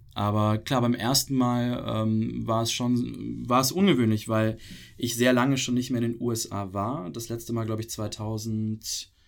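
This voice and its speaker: Music plays behind a man speaking at a fairly slow pace. His pitch is medium and his intonation fairly even. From Pakistan (Karachi), German expat community. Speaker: podcast guest. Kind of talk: casual interview.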